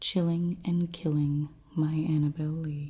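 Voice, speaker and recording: Soft-spoken and somewhat breathy, this woman has a very deep, low pitch and a dark, mellow tone. She talks at a fairly slow pace. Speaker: ASMR creator. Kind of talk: poetry reading.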